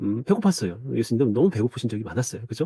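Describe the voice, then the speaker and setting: Medium in pitch, a man speaks with a dark, mellow tone and lively intonation. The sound is dry and close, with no echo. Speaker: church discipleship trainer. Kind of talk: recorded training lecture. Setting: self-recorded video.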